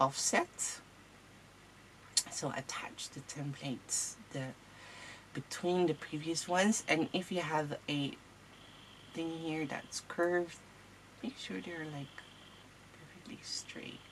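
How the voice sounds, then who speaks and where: A woman's very deep, low voice with a non-native accent, very slow pace, long, frequent pauses, big swings in loudness and ordinary pitch variation. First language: not English. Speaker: crafting tutorial host. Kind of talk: tutorial. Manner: casual, hesitant.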